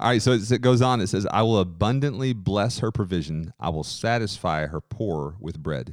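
An unremarkable speaking voice, this man's is fairly low in pitch with lively intonation, a moderate pace and hardly any pauses, on a very clean recording with a silent background. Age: 30s. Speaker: podcast co-host and musician. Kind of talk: casual chat.

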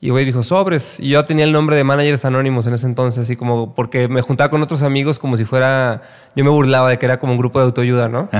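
Very fast speech from a man, medium in pitch, with fairly even intonation. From Mexico, Guadalajara (Jalisco). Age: 30s. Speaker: music manager. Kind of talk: casual interview chat.

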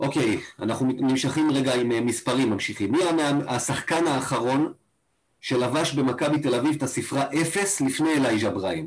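An ordinary speaking voice holds very even loudness with ordinary pitch variation. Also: man, medium pitch for a man, moderate pace. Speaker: fan podcast co-host. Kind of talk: casual chat. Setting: video call.

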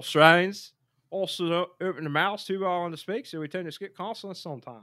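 In a put-on character voice at a middle pitch, the speaker mumbles at a fairly quick pace in a very clean recording with a silent background. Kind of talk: instructional. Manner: mumbled, skipping consonants.

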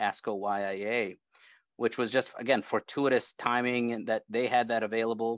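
Against a quiet background, a man talks at a medium pitch and moderate pace with fairly even intonation, the sound dry and close with no echo. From Brazil, raised in Chicago. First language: Portuguese. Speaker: surgical oncologist and professor. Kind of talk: interview discussion, medical.

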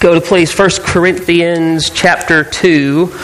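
This man's voice sits high in pitch, with noticeable background noise behind it. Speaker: preacher. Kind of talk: sermon. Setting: church.

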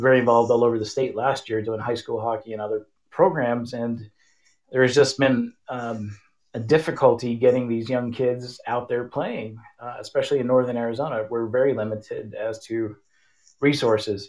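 A man with a plain, everyday voice at medium pitch, fairly even intonation and a moderate pace. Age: 50s. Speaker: hockey camp coach. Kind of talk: interview. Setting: online call-in. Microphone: no headphones, connection issues.

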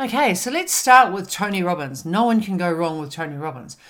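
With a New Zealand accent, a woman talks in an animated tone at a moderate pace, her pitch swinging very widely. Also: very clean recording, silent background. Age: 50s. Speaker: podcast host and wellness coach. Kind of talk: motivational talk.

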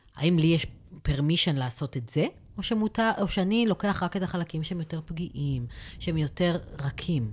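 Lively in intonation, a woman with a fairly low pitch talks at a fairly quick pace. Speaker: social worker and therapist. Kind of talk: expert advice discussion.

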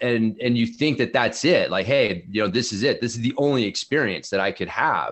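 A man with an unremarkable speaking voice talks at a fairly quick pace with hardly any pauses, his medium pitch showing ordinary variation. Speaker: mountain bike and strength coach. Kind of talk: interview conversation.

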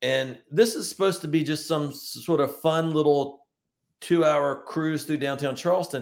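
An unremarkable speaking voice from a man with an American accent, fairly high in pitch, at a moderate pace with fairly even intonation. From Virginia, Richmond area (eastern Hanover County). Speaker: tour guide. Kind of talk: casual interview.

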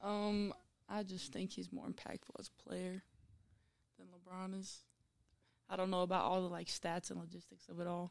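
A woman with an American accent speaks at a moderate pace. Her loudness swings widely, and she takes long, frequent pauses. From Utah. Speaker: college basketball player. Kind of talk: casual interview.

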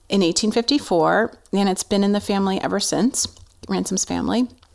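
In a very clean recording with a silent background, a woman of medium pitch talks at a fairly quick pace in an ordinary speaking voice with fairly even intonation. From New Jersey. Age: 40s. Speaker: communications consultant and farmer. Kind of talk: casual interview.

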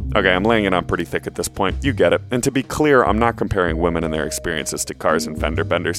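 Over music in the background, a man with a very deep, low pitch talks at a very fast pace with lively intonation and hardly any pauses. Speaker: podcast co-host. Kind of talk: casual chat.

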